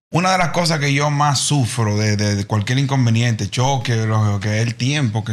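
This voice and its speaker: Moderate tempo and ordinary pitch movement in a normal speaking voice. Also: man. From Dominican Republic. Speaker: podcast guest. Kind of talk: casual chat. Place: studio. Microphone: studio mic.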